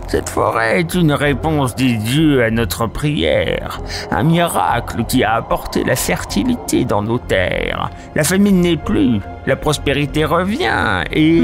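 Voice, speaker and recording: Clear music plays behind a man doing a put-on character voice. He speaks at a fairly slow pace. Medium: audio drama. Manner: curt, guarded.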